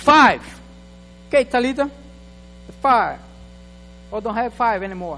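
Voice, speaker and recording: A man with an extremely high voice speaks in a raised, projected, animated tone at a fairly slow pace, with ordinary pitch variation and long, frequent pauses. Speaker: guest preacher. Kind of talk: sermon. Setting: church.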